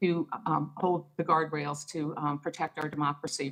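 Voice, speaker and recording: In an American accent, a woman talks at a moderate pace. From New Jersey. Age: 60s. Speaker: political activist and local elected official. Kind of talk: radio interview.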